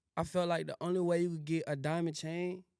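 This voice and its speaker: In a dry, close recording with no echo, a man with an Atlanta accent talks at a very fast pace in a fairly high voice. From Syracuse, New York; teen years in Virginia and Atlanta. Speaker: rapper. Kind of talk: podcast interview. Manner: casual, filler-heavy slang.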